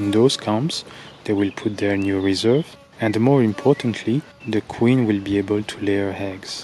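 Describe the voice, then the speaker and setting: With a non-native accent and fairly even intonation, the speaker talks over noticeable background noise. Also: man, fairly low pitch for a man, moderate pace. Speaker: beekeeper. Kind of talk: narrated video commentary. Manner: slightly halting.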